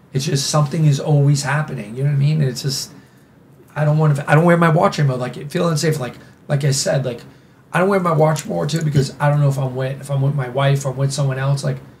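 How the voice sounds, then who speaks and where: A man with an American accent and a fairly high pitch speaks at a very fast pace with fairly even intonation, with audible room echo around him. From New York City. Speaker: nightlife figure. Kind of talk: casual chat. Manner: halting, many restarts.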